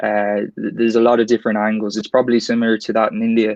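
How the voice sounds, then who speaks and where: Medium pitch from a man, dry and close, without echo. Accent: Irish. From Ireland, Dublin. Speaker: tech account executive. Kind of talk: online panel interview.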